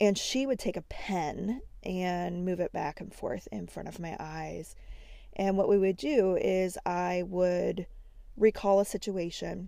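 At a very slow pace, a woman with a medium pitch and ordinary pitch variation speaks in a dark, mellow tone, her loudness swinging widely. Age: 40s. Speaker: podcast host. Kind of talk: educational solo podcast.

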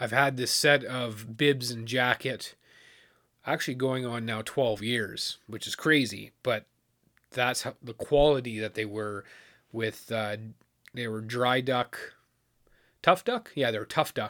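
A man's medium-pitched voice at a fairly slow pace, with fairly even intonation, long, frequent pauses and a very clean recording with a silent background. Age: 30s. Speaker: outdoors podcast host. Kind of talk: casual solo podcast monologue. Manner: casual, halting with fillers.

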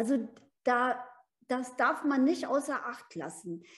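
Her voice is high-pitched, and this woman speaks at a very slow pace. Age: 70s. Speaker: business mentor and life coach. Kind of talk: casual podcast conversation.

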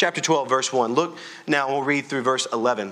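A man talks fairly quickly against noticeable background noise. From Louisiana. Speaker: pastor. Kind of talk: sermon. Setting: church. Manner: loud.

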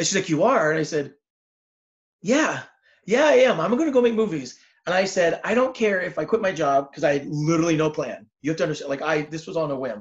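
A man with an American accent talks at a very fast pace, his high-pitched voice rising and falling in a lively way. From Southern California. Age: 40s. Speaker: filmmaker and screenwriter. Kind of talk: casual interview chat.

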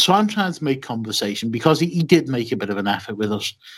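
A man talks with a Liverpool accent. His pitch is medium and his intonation lively. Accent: Scouse. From Liverpool, England. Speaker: wrestling podcaster. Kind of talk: casual chat.

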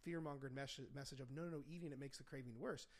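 A man speaks with an American accent. His pitch is fairly high, with ordinary variation. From Indiana, US. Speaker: podcast host and nutrition coach. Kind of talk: casual chat. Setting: home studio.

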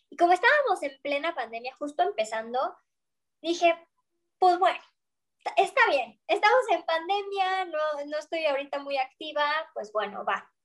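Using an extremely high voice with a Mexican accent, a woman leaves long, frequent pauses while her pitch and loudness swing widely. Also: moderate pace. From Mexico. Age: young. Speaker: opera singer. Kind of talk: interview.

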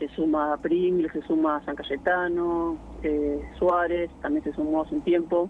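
A man speaks at a fairly slow pace in a high pitch, his intonation monotone and flat. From Argentina, Buenos Aires province (Orense). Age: 30s. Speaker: keyboardist and amateur basketball player. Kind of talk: radio interview.

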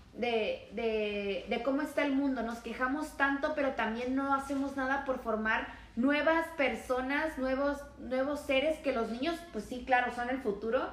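With audible room echo and noticeable background noise, a woman speaks at a high pitch and a fairly slow pace with fairly even intonation. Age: 20s. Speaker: podcast co-host. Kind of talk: casual chat.

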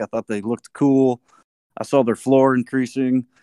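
At a moderate pace, a man talks at medium pitch with monotone, flat intonation. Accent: Texan. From Texas. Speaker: community radio DJ. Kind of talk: casual chat.

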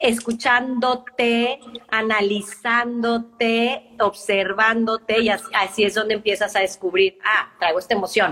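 A woman's fairly high voice with a Monterrey accent, fairly slow with hardly any pauses, fairly even in intonation and very even in loudness, over noticeable background noise. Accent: Monterrey Mexican Spanish. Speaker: life and business coach. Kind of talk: casual interview.

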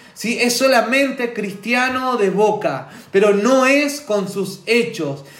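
Speech comes at a very slow pace with ordinary pitch variation. The room echo is audible, and background noise is noticeable. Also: man, extremely high pitch for a man. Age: 40s. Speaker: preacher. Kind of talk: sermon.

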